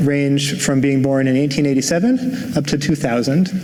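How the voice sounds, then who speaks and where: Someone with an American accent speaks with ordinary pitch variation amid noticeable background noise. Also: man. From New Jersey. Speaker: linguist. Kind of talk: lecture.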